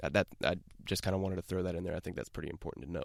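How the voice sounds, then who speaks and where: Male speech in a very clean recording, background silent. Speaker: political podcast host. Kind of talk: podcast news commentary. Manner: casual, conversational.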